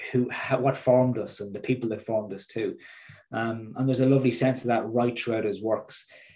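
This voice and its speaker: A man's medium-pitched voice in an Irish accent, dark and mellow in tone, with fairly even intonation. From Ireland, midlands. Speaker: transformational coach and public speaker. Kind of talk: podcast interview.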